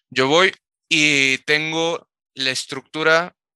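The man's tone is bright and sharp, his intonation fairly even, and the sound dry and close with no echo. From Mexico, Tamaulipas. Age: 20s. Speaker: esports coach and analyst. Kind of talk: casual interview chat.

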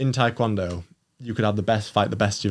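In a Yorkshire accent, a man talks at a very fast pace with fairly even intonation. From northern England, Doncaster. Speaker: Olympic taekwondo athlete. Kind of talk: casual interview chat.

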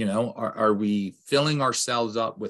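This man has a normal speaking voice with an American accent and medium pitch. He talks at a moderate pace with ordinary pitch variation. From Lancaster, Pennsylvania, US. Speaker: pastor. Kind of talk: casual chat.

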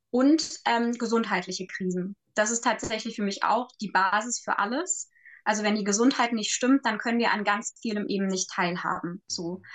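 Delivered at a moderate pace, the speech has ordinary pitch variation. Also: woman, fairly high pitch for a woman. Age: 20s. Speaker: social worker and resilience trainer. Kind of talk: casual chat. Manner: halting, frequent fillers.

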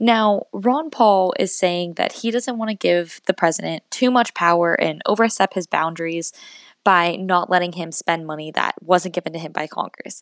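In a dry, close recording with no echo, very clean and with a silent background, a woman with an American accent uses a normal speaking voice at a fairly low pitch, with ordinary pitch variation and a moderate pace. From US Northeast. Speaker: podcast host, college student. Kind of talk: solo podcast monologue on politics.

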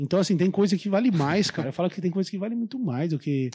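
On a very clean recording with a silent background, a man talks at a fairly quick pace. His high pitch has a dark, mellow tone and lively intonation. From São Paulo state. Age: 30s. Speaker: shop owner. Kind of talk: casual chat.

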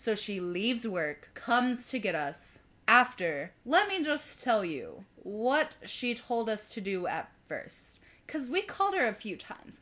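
Her fairly high voice carries vocal fry and a bright, sharp tone. The woman speaks at a fairly slow pace with very wide pitch swings. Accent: American. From US South. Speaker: podcast co-host. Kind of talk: casual chat.

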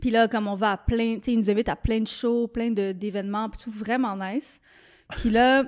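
At a fairly high pitch, a woman speaks at a moderate pace in an unremarkable speaking voice. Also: fairly even intonation. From Quebec. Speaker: painter. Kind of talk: casual chat. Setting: studio.

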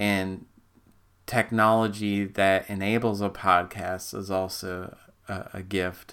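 A man speaks at a very slow pace, his pitch fairly low and his intonation monotone and flat. The tone is bright and sharp, and the recording is very clean with a silent background. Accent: Upper Midwest US. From Minnesota. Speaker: podcast host, amateur theology teacher. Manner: halting, many fillers and restarts; casual, humorous.

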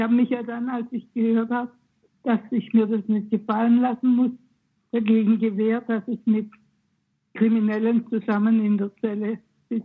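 At a moderate pace, the voice stays monotone and flat, broken by long, frequent pauses. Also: woman, fairly high pitch for a woman. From Swabia, southwest Germany. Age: 90. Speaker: former political prisoner. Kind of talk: testimony. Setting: phone call from her kitchen.

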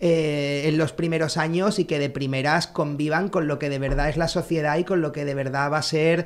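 A man with an unremarkable speaking voice talks at a fairly slow pace, fairly high in pitch, with fairly even intonation, on a very clean recording with a silent background. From Canary Islands (Tenerife). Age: 40s. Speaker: blind co-founder of a sneaker brand. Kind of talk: interview, casual chat.

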